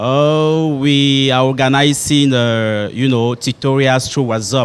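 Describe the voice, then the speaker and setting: At a very slow pace, a man speaks in a medium pitch with a French accent. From Cameroon, grew up in Douala. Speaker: primary school head teacher. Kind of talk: interview. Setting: hotel. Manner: halting, many fillers.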